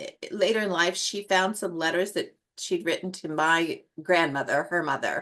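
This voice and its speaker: A woman with an American accent talks at a moderate pace and medium pitch, her tone bright and sharp and her intonation fairly even. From US Northwest. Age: 60s. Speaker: colored pencil artist and educator. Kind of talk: casual interview chat. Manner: halting, many fillers.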